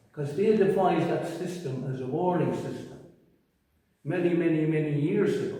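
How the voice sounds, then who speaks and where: A man speaks at a moderate pace in an Irish accent, his pitch high. Audible room echo surrounds his voice. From Ireland. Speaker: storyteller and poet. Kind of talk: talk about own stories to gallery visitors. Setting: gallery exhibition.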